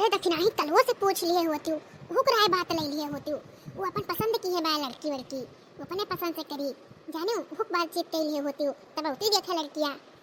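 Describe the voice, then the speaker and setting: A woman performs a cartoonish character voice at extremely high pitch, racing along at a very fast pace with lively intonation over clear background noise. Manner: grumbling, exasperated.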